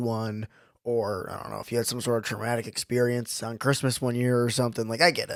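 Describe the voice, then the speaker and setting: Very fast speech in a Western New York accent on a very clean recording with a silent background. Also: man. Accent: Western New York American. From Buffalo, New York. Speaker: podcast co-host. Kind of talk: casual chat.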